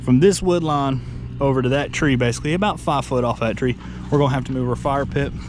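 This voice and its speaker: The speaker goes at a fairly quick pace against noticeable background noise. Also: man. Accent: Southern US. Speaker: homesteader vlogger. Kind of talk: casual walking tour vlog. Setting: outdoors.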